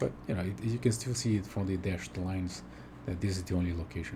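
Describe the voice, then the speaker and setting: A man's very deep, low voice with lively intonation, a fairly quick pace, long and frequent pauses, and audible room echo. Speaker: game tool developer. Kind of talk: software demo. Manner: whispered, soft; halting, many fillers.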